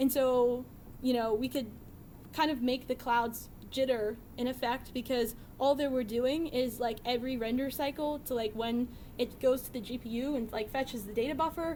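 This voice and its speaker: A woman's high-pitched voice has a dark, mellow tone and fairly even intonation. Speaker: software developer presenting a data visualization library. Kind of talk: technical talk with live demo. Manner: fast.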